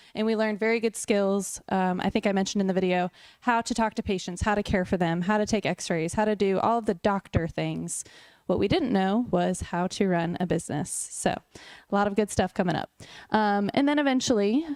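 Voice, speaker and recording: With an American accent and a plain, everyday voice, a woman speaks at a fairly quick pace and medium pitch, with ordinary pitch variation and a dry, close sound with no echo. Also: very even loudness. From US South (Raleigh, North Carolina). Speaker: chiropractor. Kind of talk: talk at a luncheon.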